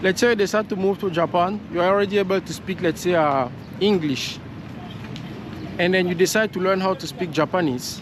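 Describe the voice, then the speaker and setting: Against noticeable background noise, a man talks at a fairly quick pace with a high pitch and ordinary pitch variation. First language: French. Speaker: vlogger. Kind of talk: casual vlog monologue. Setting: outdoors, walking. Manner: halting, with fillers and repetitions.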